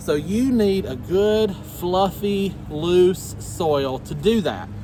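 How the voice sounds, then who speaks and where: A man with a high pitch and lively intonation talks over noticeable background noise. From US South. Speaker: gardening YouTuber. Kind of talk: tutorial. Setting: outdoors in the garden. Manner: halting, many fillers; casual.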